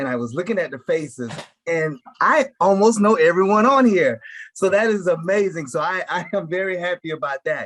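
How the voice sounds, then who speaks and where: Loud, high-pitched man's voice at a moderate pace with lively intonation. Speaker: college risk management coordinator, military veteran. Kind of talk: online meeting presentation. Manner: loud, projected voice.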